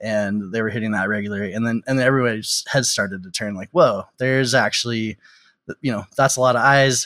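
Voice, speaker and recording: A man with an American accent speaks at a very fast pace in a medium pitch, his bright, sharp tone carrying fairly even intonation on a very clean recording with a silent background. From Texas. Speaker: tech company founder and CEO. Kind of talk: interview.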